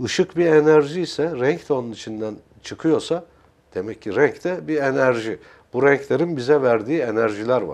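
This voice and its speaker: At a moderate pace, a man speaks at a fairly high pitch with ordinary pitch variation. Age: 60s. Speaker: art consultant and character analyst; guest. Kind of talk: TV interview. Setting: TV studio. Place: studio. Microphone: lapel.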